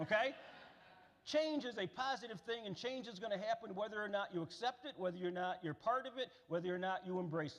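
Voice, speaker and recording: In an American accent, a man with a high voice talks at a very fast pace. His tone is animated, with lively intonation. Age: 60s. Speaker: keynote speaker. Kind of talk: speech. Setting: stage with audience.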